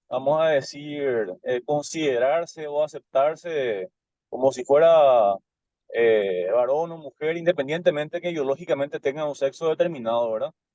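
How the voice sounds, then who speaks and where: In a dark, mellow tone, a man talks at a moderate pace and a fairly high pitch with ordinary pitch variation, in a dry, close sound with no echo. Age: 30s. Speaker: student teacher in an online class. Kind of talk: class discussion question. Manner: halting, many fillers and repetitions.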